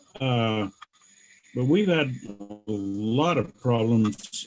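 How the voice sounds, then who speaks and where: A medium-pitched man speaks at a very slow pace. Music plays in the background. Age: 70s. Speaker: caller, club member. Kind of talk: question from audience.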